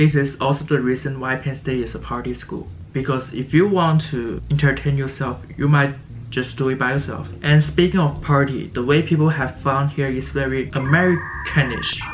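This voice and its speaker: A man with a Chinese accent speaks at a moderate pace in a fairly high pitch, his intonation fairly even, over noticeable background noise. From China. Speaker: college student vlogger. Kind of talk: casual vlog. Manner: halting, stuttering.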